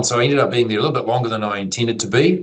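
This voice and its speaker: In a New Zealand accent, a man talks with ordinary pitch variation. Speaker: IT executive. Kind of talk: interview.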